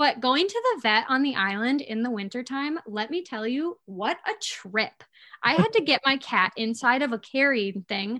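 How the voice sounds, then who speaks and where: With an Upper Peninsula Michigan accent, a woman projects her voice at a high pitch and a moderate pace, with a bright, sharp tone and lively intonation. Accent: Upper Peninsula Michigan (Yooper). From Upper Peninsula of Michigan, Escanaba. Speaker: social media creator. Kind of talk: casual chat.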